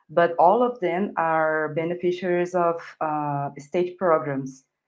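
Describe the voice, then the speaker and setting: Speaking very slowly with a Brazilian accent, a woman uses a fairly low pitch with ordinary pitch variation. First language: Portuguese. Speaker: journalist. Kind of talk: live news interview. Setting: live online broadcast. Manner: hesitant, many fillers.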